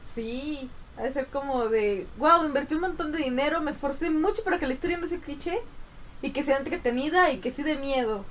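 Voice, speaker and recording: High-pitched woman with a Mexican accent, lively intonation and a moderate pace. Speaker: student podcast co-host. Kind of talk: casual chat. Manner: animated.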